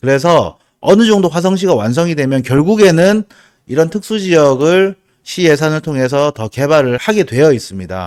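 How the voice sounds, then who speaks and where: Lively intonation and a slight Busan accent come through on a very clean recording with a silent background. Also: man, fairly high pitch for a man, moderate pace. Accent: slight Busan (Gyeongsang) dialect. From South Korea, Busan. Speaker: real estate agent. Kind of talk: video presentation on land investment. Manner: casual, frequent fillers.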